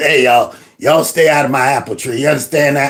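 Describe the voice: Putting on a character voice, a man talks very fast in a raspy, fairly high pitch.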